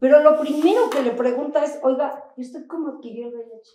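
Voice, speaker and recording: A woman speaks in an animated tone at a moderate pace, with ordinary pitch variation and audible room echo. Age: 60s. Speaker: HIV activist. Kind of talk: panel discussion.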